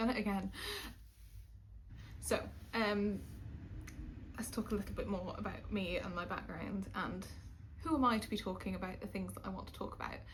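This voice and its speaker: A woman speaks at a very fast pace with a slight Welsh accent. Audible echo from the room surrounds her voice. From Wales. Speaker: YouTuber. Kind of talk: casual chat. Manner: hesitant, many fillers.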